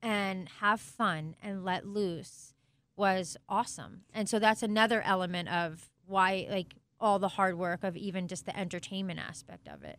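With a plain, everyday voice, the speaker goes at a fairly slow pace with fairly even intonation and big swings in loudness on a very clean recording with a silent background. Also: woman, medium pitch for a woman. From Italian-American family. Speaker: sports team co-owner. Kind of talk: interview.

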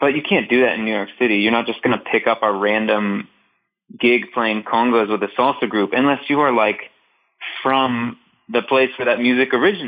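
With a normal speaking voice at medium pitch, a man talks at a fairly quick pace with ordinary pitch variation. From Northeast Ohio, US. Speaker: drummer and composer. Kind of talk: casual interview chat.

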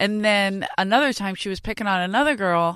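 A woman at medium pitch in a Philadelphia accent, animated in tone at a moderate pace, in a very clean recording with a silent background. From South Philadelphia, US. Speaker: stand-up comedian. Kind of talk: casual chat. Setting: studio.

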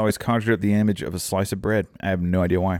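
His words come very fast. It is a man talking. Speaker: podcast co-host. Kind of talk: casual chat. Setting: video call. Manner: slurred speech.

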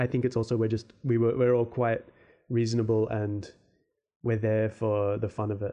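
This man speaks with an Australian accent at a moderate pace. His pitch is medium, and his intonation is monotone and flat. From Australia, Perth. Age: 30s. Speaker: podcast host and fantasy artist. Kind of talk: casual solo Q&A. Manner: hesitant, many fillers.

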